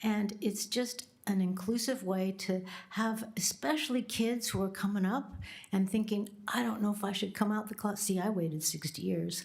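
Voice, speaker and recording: The speech is delivered at an average speed with a slight breathiness and a mostly level intonation. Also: woman. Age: 70s. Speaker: public commenter, retired minister. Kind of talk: public comment at government meeting. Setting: county board meeting chamber.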